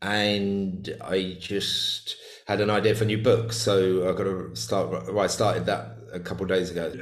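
Audible room echo surrounds a man with a fairly low pitch, lively intonation and vocal fry. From UK. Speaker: shamanic healer and author. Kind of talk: casual interview chat. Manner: halting, many repeated words.

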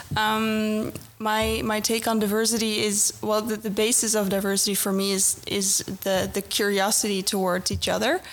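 Over music in the background, a woman speaks at a medium pitch and a moderate pace with hardly any pauses, very even loudness, and monotone, flat intonation. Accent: Dutch. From Netherlands. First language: Dutch. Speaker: corporate recruiter, mentor. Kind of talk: podcast interview. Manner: halting.

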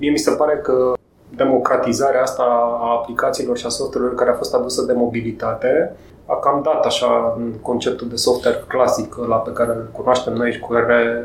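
Audible room echo and noticeable noise accompany a man talking at a moderate pace. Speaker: podcast host. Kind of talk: interview.

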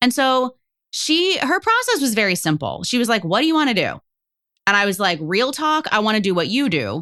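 Against a quiet background, a woman speaks very fast in a bright, sharp, animated tone with very wide pitch swings. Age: 40s. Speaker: life coach. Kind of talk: casual chat.

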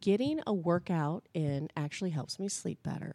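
A woman speaks at a fairly slow pace with ordinary pitch variation and a fairly low pitch. The recording is very clean, with a silent background. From Indiana, Indianapolis area. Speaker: blogger and mom. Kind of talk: casual interview. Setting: studio.

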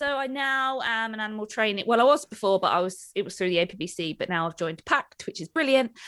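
A woman with a British accent talks at a very fast pace with hardly any pauses. Her pitch is fairly high and her intonation lively. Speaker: dog trainer and podcast co-host. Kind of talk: casual chat. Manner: loud.

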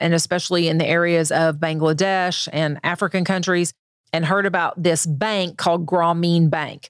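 With an American accent, a woman in an unremarkable speaking voice talks at a moderate pace and a fairly low pitch, on a very clean recording with a silent background. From Northwest Arkansas / Northeast Oklahoma. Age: 50s. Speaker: business consultant. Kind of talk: interview. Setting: studio.

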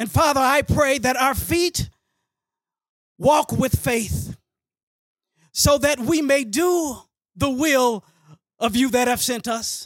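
With an American accent and an extremely high pitch, a man speaks very slowly with ordinary pitch variation and long, frequent pauses, in a dry, close sound with no echo. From Texas, Dallas area. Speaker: pastor. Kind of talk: public prayer; introduction to an audience.

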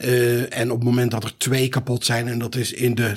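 At a medium pitch, a man speaks in a somewhat breathy voice. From Netherlands (North Brabant). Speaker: trauma surgeon. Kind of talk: expert discussion.

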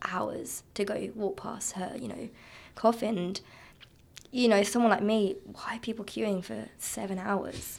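A woman with a slight southern English accent talks at a fairly slow pace. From southeast England, Kent. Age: 20s. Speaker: guest, recent graduate. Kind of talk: casual interview chat.

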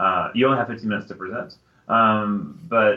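This man has an American accent and lively intonation. He speaks at a moderate pace. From Texas, San Antonio. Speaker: higher education professional and podcast co-host. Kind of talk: casual chat. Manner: halting, many fillers.

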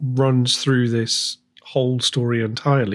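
Here is an ordinary speaking voice from a man at medium pitch. He goes at a fairly slow pace with ordinary pitch variation. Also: very clean recording, silent background. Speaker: podcast host. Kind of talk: scripted intro and interview questions.

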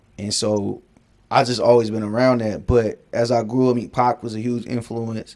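A man talks at medium pitch in a monotone, flat intonation. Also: moderate pace. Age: 30s. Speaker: music writer. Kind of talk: casual chat. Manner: long-winded.

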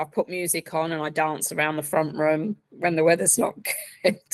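Speaking in an Essex accent, a woman uses fairly even intonation at a fairly low pitch. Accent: southern English (Essex). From Essex, England. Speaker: software project coordinator. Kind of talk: casual interview chat.

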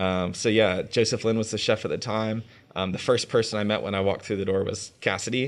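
In a plain, everyday voice, a man with an American accent speaks at a fairly quick pace, fairly low in pitch and with fairly even intonation, on a very clean recording with a silent background. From North Carolina, Raleigh-Durham area. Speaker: chef. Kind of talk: interview.

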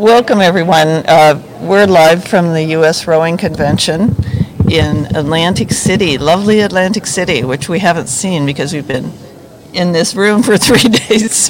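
A woman talks at a moderate pace with ordinary pitch variation and a fairly low pitch. Noticeable background noise can be heard. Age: 60s. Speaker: podcast host, rower. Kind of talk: casual interview. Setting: live stream from a convention room.

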